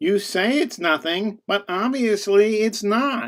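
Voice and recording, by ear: At a fairly slow pace, a cartoonish character voice speaks with a fairly high pitch.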